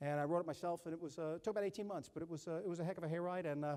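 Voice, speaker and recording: A man with an American accent and a dark, mellow tone talks at a very fast pace in a high pitch with fairly even intonation. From Alabama. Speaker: keynote speaker. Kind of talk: keynote speech Q&A. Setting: stage with audience.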